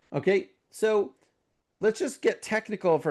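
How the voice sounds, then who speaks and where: The voice belongs to a man. Behind him, things are quiet. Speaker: webinar presenter on AI for research. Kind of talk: webinar lecture. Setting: online webinar. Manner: fast; conversational, with many fillers.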